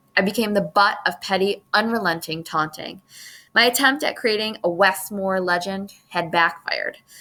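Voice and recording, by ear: Pitch varies in an ordinary way as a natural voice reads aloud.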